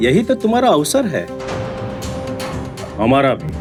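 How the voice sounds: Over clear music in the background, a man does a put-on character voice at a fairly high pitch, swinging very widely in pitch at a fairly slow pace.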